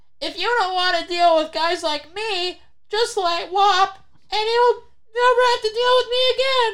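The put-on character voice is nasal and extremely high-pitched, moving at a moderate pace.

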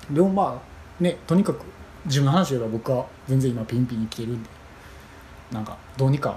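A man with a medium-pitched, dark, mellow voice that is somewhat breathy talks at a fairly quick pace with lively intonation and long, frequent pauses. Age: 20s. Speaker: podcast host. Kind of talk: solo monologue. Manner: halting.

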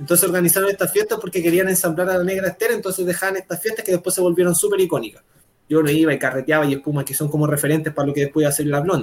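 This man talks at a very fast pace. His pitch is high. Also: ordinary pitch variation. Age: 20s. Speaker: musician. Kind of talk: casual chat.

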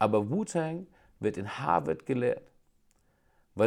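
A man talks at a fairly slow pace. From Germany, Schweinfurt (Franconia). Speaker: podcast co-host. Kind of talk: casual chat.

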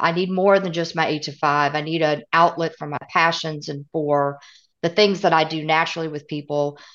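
A woman's fairly low, bright, sharp voice in a Southern US accent, at a moderate pace over a quiet background. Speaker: author and consultant. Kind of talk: interview conversation.

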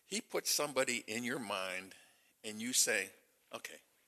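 A man speaks loudly in a bright, sharp tone, with a dry, close sound and no echo. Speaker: church member. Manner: loud and boisterous.

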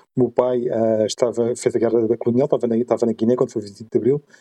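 Fairly quick speech from a man, dark and mellow in tone, with a dry, close sound and no echo. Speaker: podcast host. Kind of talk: casual discussion.

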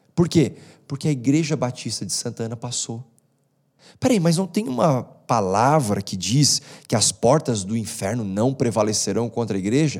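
Lively intonation marks this man's unremarkable speaking voice. He keeps a medium pitch and a moderate pace. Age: 30s. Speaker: pastor. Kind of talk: casual interview.

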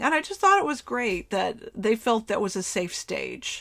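It is an unremarkable speaking voice: a woman at a fairly high pitch and a moderate pace. The recording is very clean with a silent background. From US, Florida. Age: 50s. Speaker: psychic medium podcaster. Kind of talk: casual solo talk. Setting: bedroom of an RV used as a studio.

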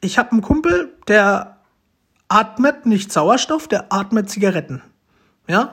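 In an animated tone, a high-pitched man talks at a fairly slow pace with lively intonation, very even loudness, and long, frequent pauses. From Romania, adopted and raised in Germany. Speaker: podcaster. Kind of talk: casual monologue. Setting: at home.

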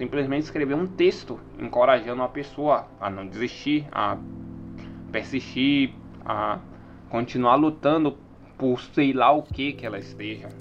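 Pausing long and often, a man talks fairly slowly at medium pitch, with ordinary pitch variation and big swings in loudness. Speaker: solo podcaster. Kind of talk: casual monologue.

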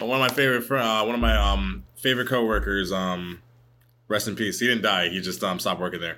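Very fast and marked by vocal fry, a man's fairly low voice makes very wide pitch swings. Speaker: podcast host. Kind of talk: casual chat.

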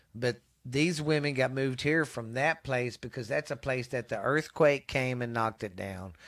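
A man with a Texas accent speaks at a moderate pace with hardly any pauses. His voice sits at a medium pitch, with ordinary pitch variation. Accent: Texas Southern US. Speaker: podcast host. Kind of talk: casual chat. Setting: home recording in cold weather.

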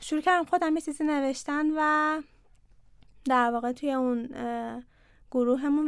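A woman speaks at a moderate pace in a high voice with fairly even intonation. The recording is very clean, with a silent background. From Iran, Ahvaz (Khuzestan). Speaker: company CEO and co-founder. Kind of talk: interview conversation.

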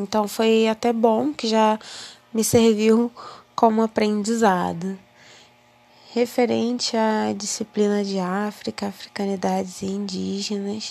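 A woman's fairly high, dark and mellow voice, very slow and monotone, with long, frequent pauses. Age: 20s. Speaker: university student. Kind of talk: personal monologue.

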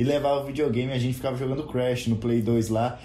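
Over noticeable background noise, a man with a medium pitch talks very fast with fairly even intonation. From Goiás, Brazil. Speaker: podcast co-host. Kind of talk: casual chat.

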